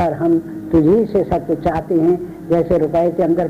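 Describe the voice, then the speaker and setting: Noticeable background noise is present throughout. Over it, a man talks at a high pitch. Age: 70s. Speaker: spiritual teacher. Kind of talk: religious discourse.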